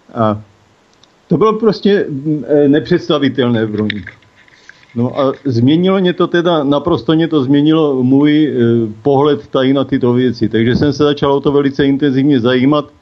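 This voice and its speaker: With noticeable background noise, a man speaks at a moderate pace in a fairly high pitch. His loudness stays very even and his pitch varies in an ordinary way. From Czechia, South Moravia. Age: 60s. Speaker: cannabis legalization activist, caregiver father. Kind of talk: interview. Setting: phone call.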